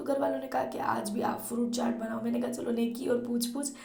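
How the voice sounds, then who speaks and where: Amid noticeable background noise and audible room echo, a woman speaks at a moderate pace with a high pitch. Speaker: vlogger. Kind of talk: vlog narration.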